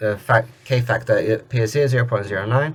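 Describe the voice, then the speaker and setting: A man talking at a very fast pace, somewhat breathy. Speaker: tech tutorial youtuber. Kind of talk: screen-recorded tutorial. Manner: casual, with filler words; stuttering at times.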